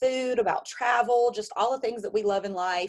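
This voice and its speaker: The intonation stays fairly even. The speaker has an Alabama accent. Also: woman. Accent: Alabama Southern. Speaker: network marketing consultant and Air Force member. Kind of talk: virtual business launch presentation, personal story. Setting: video call. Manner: casual, with many fillers.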